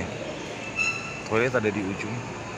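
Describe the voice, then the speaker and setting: A man talks fairly slowly in a dry sound with no echo, with loud noise in the background. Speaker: bus travel vlogger. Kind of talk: casual vlog chat. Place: hall. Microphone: phone near.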